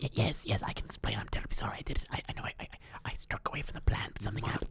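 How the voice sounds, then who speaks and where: Over light background noise, a man puts on a raspy character voice at a medium pitch and talks at a very fast pace. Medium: actual play. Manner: rambling, apologetic, overly formal.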